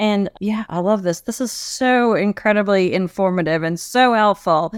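Medium pitch and ordinary pitch variation from a woman. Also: dry, close sound with no echo, very clean recording, silent background. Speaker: podcast co-host and business coach. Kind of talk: interview chat. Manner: slow talker.

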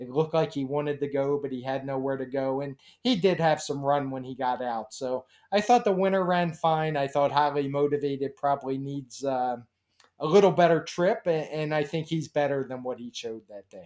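A man with an American accent and an ordinary speaking voice talks at a moderate pace in a fairly high pitch, with ordinary pitch variation and big swings in loudness. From US, Baltimore, Maryland. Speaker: horse racing handicapper. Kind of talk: interview.

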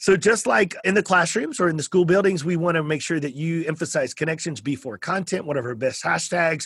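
Speaking with a Texan accent, a man talks at a fairly quick pace with hardly any pauses, his high-pitched voice animated and showing ordinary pitch variation. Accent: Texan American. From South Texas. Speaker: podcast host. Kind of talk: interview conversation; show promo.

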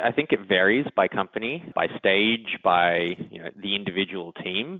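This is a man speaking with an Australian accent. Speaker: engineering executive. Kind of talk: interview.

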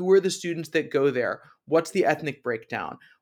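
A man talks at a fairly quick pace in a normal speaking voice with ordinary pitch variation. The recording is very clean, with a silent background. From US East Coast. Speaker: college admissions director. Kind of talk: interview.

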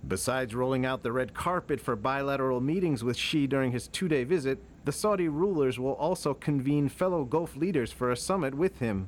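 An ordinary speaking voice moves at a fairly quick pace with hardly any pauses, very even loudness and ordinary pitch variation. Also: man, medium pitch for a man. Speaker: news reporter. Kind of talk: news reading.

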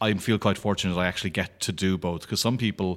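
Speaking in an Irish accent, a man has a very deep, low pitch and monotone, flat intonation at a fairly quick pace. The recording is very clean, with a silent background. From Ireland, County Clare. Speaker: comic book artist. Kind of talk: casual interview chat.

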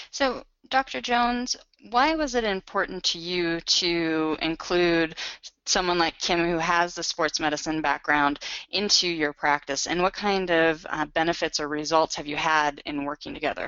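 This woman has a plain, everyday voice at a fairly low pitch. She keeps a moderate pace and an ordinary range of pitch. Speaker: webinar host, magazine editor. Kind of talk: live webinar interview.

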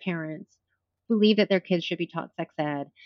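An unremarkable speaking voice from a woman, fairly quick in pace, with lively intonation. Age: 40s. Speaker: president of a sex education nonprofit. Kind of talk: interview.

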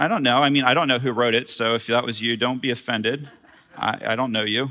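A man with a bright, sharp, animated tone at a fairly quick pace. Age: 40s. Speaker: pastor. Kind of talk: sermon. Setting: church.

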